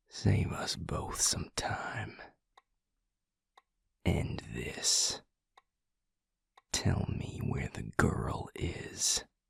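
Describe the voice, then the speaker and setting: A put-on character voice whispers at a very slow pace, broken by long, frequent pauses. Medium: audio drama. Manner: curt, controlled, terse.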